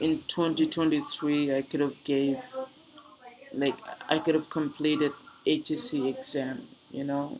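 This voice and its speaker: A man with a fairly high pitch speaks at a fairly slow pace. He leaves long, frequent pauses, and there is noticeable background noise. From Bangladesh, Dhaka. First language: Bengali. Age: 20s. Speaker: streamer. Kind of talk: casual chat. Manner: halting.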